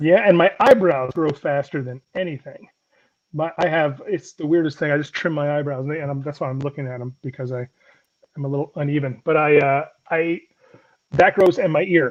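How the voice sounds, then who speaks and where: A man with an American accent and an ordinary speaking voice talks at a fairly high pitch and moderate pace, with ordinary pitch variation. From US South. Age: 40s. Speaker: comedian. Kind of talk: casual chat.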